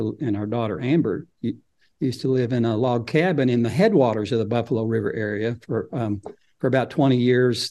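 A man with an Arkansas accent talks at a fairly quick pace in a medium pitch, his dark, mellow tone showing ordinary pitch variation. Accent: Southern US (Arkansas). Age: 60s. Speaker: nature photographer and author. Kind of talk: casual interview chat.

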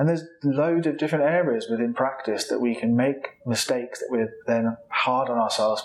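This man has a normal speaking voice at medium pitch, talking at a moderate pace with ordinary pitch variation. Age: 30s. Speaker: clinical psychologist, podcast host. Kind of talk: solo educational podcast talk.

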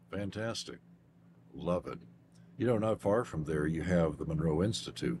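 A man with a very deep, low pitch, vocal fry, lively intonation, a moderate pace, and long, frequent pauses. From Kentucky. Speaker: radio show host. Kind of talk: interview.

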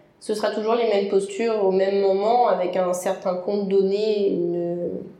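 The speech comes at a fairly slow pace with monotone, flat intonation, amid audible room echo and noticeable background noise. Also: woman. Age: 20s. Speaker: lifeguard and yoga practitioner. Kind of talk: interview. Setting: room with a lot of echo.

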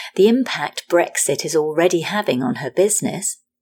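With an American accent, a woman with a fairly low pitch speaks at a moderate pace and with lively intonation. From Britain. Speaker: podcast host, journalist. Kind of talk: interview conversation.

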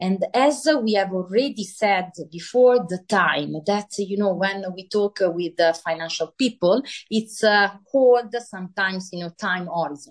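Speaking fairly slowly in an Italian accent, a woman has a medium pitch and ordinary pitch variation. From Italy. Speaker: author and finance professional. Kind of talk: interview. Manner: halting.

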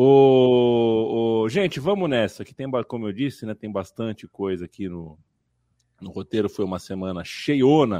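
A man at medium pitch, dark and mellow in tone, with lively intonation, big swings in loudness, a fairly slow pace and a quiet background. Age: 30s. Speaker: football podcast host. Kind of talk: casual chat.

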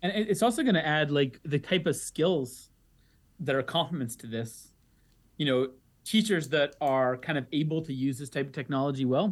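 An unremarkable speaking voice moves at a moderate pace with ordinary pitch variation over a quiet background. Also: man, fairly high pitch for a man. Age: 30s. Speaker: economics professor. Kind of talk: interview.

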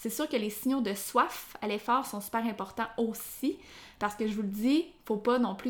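A woman's fairly high voice with ordinary pitch variation and a Quebec accent. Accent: Québécois French. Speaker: sports nutritionist, podcast host. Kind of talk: solo educational podcast. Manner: hesitant, many fillers.

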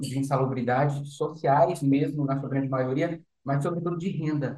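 Fairly high-pitched, somewhat breathy male speech. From Recife, Brazil, raised in Brasília. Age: 20s. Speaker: startup founder. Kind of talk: interview.

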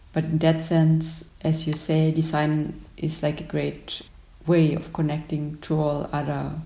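A woman with a German accent speaks at a very deep, low pitch. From Austria, Upper Austria. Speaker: graphic designer. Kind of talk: casual chat. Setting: video call.

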